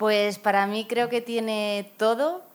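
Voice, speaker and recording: A woman speaking at a very slow pace. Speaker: actress. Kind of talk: casual chat.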